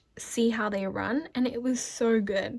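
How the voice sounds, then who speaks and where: Lively intonation in an Australian accent at a fairly slow pace. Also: woman. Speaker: vlogger. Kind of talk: casual vlog talk.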